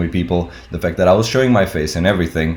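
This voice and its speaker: With a non-native accent, a man with a very deep, low voice talks very fast with ordinary pitch variation. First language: not English. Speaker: tattoo artist and YouTuber. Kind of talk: casual talk-to-camera advice video. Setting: home recording on webcam.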